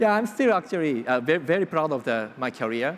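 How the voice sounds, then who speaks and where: The speaker's pitch swings very widely, in a Japanese accent. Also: man. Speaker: startup co-founder. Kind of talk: panel discussion. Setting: stage with audience. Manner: halting.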